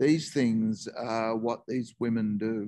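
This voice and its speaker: With an Australian accent and a medium pitch, a man speaks very slowly with fairly even intonation, in a dry sound with no echo over a quiet background. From Northern New South Wales, Australia. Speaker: presenter. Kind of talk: talk; lecture. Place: home room. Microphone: video call.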